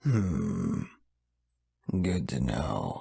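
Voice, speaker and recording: This is a put-on character voice. It growls. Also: man. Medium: audio drama.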